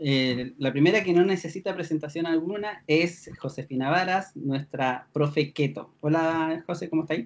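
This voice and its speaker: Ordinary pitch variation in a Chilean accent. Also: man, fairly high pitch for a man, moderate pace. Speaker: podcast host. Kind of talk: casual chat.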